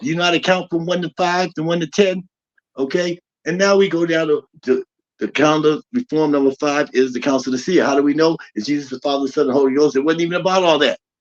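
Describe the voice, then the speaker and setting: Talking at a very fast pace, a man uses a fairly high pitch with ordinary pitch variation. The sound is dry and close, with no echo. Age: 60s. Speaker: spiritual teacher. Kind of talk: lecture. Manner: animated.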